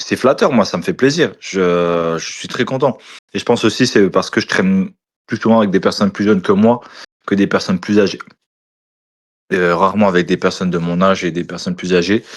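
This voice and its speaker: A man at a fairly low pitch, talking at a fairly quick pace with ordinary pitch variation and long, frequent pauses. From eastern France, Moselle (Lorraine). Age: 20s. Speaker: food content creator. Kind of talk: casual interview chat.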